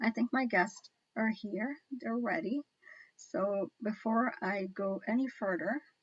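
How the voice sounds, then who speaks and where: A woman speaks at a fairly slow pace in a fairly high, somewhat breathy voice with ordinary pitch variation. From Guyana. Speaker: online talk show host. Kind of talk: casual chat.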